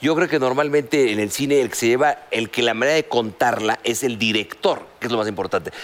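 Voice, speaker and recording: Talking at a fairly quick pace with hardly any pauses, a man with a Mexican accent has a medium pitch and ordinary pitch variation. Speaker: TV talk show host. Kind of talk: casual chat.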